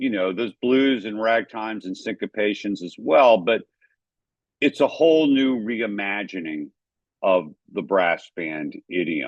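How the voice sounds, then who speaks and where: Speaking at a fairly slow pace in a New Orleans accent, a man uses a fairly low pitch and lively intonation. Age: 60s. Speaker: photojournalist and jazz historian. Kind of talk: lecture.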